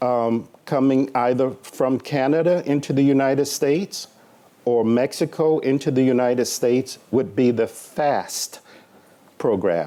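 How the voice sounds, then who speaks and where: A man with a medium pitch and a dark, mellow tone speaks at a fairly slow pace. His pitch variation is ordinary and his loudness very even. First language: Spanish. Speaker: government official presenting at a conference panel. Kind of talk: conference panel presentation. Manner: halting, with frequent fillers.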